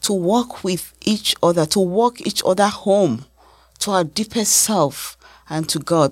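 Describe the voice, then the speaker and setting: On a very clean recording with a silent background, a woman at medium pitch speaks fairly slowly with very wide pitch swings. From Nigeria. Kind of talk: personal testimony interview.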